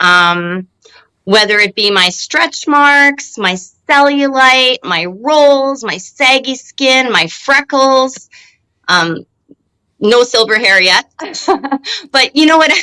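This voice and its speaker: A woman's high, bright, sharp voice, raised and projected, in a Canadian accent, with lively intonation, a very slow pace, and long, frequent pauses. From Canada, Winnipeg, Manitoba. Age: 40s. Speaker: home-care worker. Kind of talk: interview conversation.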